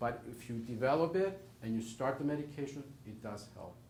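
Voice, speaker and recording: A fairly high-pitched man with a non-native accent, ordinary pitch variation and a moderate pace, amid audible room echo. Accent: foreign. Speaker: rheumatologist. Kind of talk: Q&A talk to patients. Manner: emphatic, repetitive.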